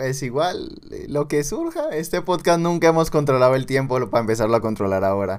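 A man talks at a fairly quick pace in a plain, everyday voice. His pitch is fairly high, with lively intonation. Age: 20s. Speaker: podcast co-host, university student. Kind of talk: casual chat.

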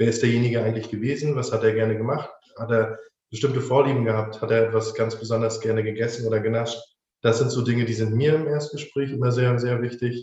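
Amid audible room echo, a man rattles along at a very fast pace with a medium pitch and monotone, flat intonation. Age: 20s. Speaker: funeral director. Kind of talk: interview.

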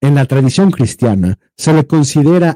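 Dry and close with no echo, a man's dark, mellow voice sits at a medium pitch, moving at a fairly slow pace with lively intonation. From Mexico, Jalisco. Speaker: podcast co-host. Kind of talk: reading aloud; casual chat. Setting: livestream.

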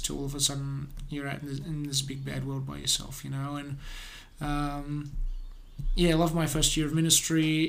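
With an Australian accent, a man talks at a moderate pace amid audible room echo. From Australia, Adelaide. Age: 20s. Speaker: pastor. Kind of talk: testimony.

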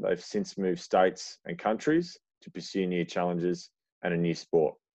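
A man with an Australian accent talks at a fairly quick pace in a fairly low voice, using lively intonation. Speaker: athletics club podcast host. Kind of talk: casual podcast chat.

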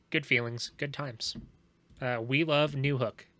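Music plays in the background as a man speaks in a deadpan tone. His pace is fairly slow, and his pitch is medium. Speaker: podcast host. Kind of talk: casual hockey game recap, bantering and sweary, not live play-by-play. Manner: deadpan, sarcastic, dry jokes.

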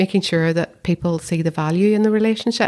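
A woman with a Belfast accent speaks at a fairly low pitch with fairly even intonation. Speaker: council chief executive. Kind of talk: casual interview chat.

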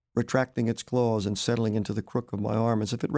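Someone reads the text aloud using a natural voice.

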